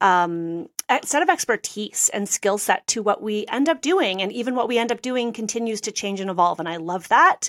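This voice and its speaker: In a very clean recording with a silent background and a dry, close sound with no echo, a woman with a Canadian accent uses an ordinary speaking voice at medium pitch, with ordinary pitch variation and a moderate pace. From Canada (Toronto). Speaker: interior designer and business coach. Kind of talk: interview.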